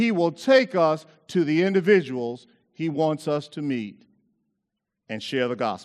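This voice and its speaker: With little sound behind him, a man is talking. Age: 60s. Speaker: preacher. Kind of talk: sermon. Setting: university chapel with audience.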